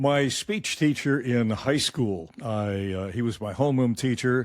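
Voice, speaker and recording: At a very slow pace, a man with a Midwestern accent talks in a medium pitch with ordinary pitch variation. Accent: American Midwest. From Michigan. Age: 80s+. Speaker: retired radio newsman. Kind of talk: interview.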